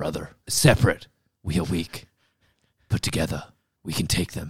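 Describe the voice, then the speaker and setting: Putting on a character voice, a man growls in a very deep, low pitch that is raspy and gruff. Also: moderate pace. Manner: urgent, rallying.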